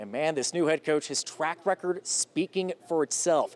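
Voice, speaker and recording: An upbeat, energetic man speaks with an American accent. His pace is moderate. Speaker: sports reporter and anchor. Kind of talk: local TV sports news reporting. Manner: upbeat, energetic, conversational.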